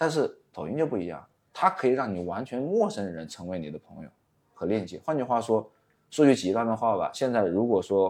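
Against a quiet background, a man at medium pitch makes very wide pitch swings and big swings in loudness. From Wuhan, China. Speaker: short-video agency owner. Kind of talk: interview.

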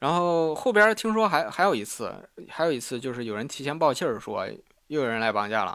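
A man's fairly high, bright, sharp voice with very wide pitch swings, at a moderate pace with hardly any pauses, in a very clean recording with a silent background. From Henan, Sanmenxia. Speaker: podcast host. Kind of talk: solo storytelling monologue. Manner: halting, many fillers and repetitions.

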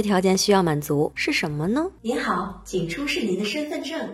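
Noticeable background noise sits behind a woman speaking. Her pitch swings very widely at a moderate pace. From Inner Mongolia. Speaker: podcast host. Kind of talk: scripted narration.

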